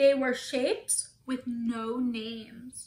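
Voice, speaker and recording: A woman speaks with a high pitch in a sing-song way. Her tone is animated and playful, also bright and sharp. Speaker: teacher reading to young children. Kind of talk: children's storybook read-aloud, bedtime-story style, with questions to the kids. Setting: home video for pandemic remote classroom. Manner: animated, sing-song and playful, acts out hisses; slow, clear, encouraging pacing for preschoolers. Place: home room. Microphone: phone near.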